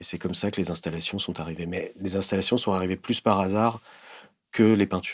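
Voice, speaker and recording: A man speaks at a fairly quick pace in a very deep, low pitch with fairly even intonation. The recording is very clean, with a silent background. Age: 50s. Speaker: visual artist. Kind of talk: interview monologue. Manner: hesitant, many fillers and repetitions.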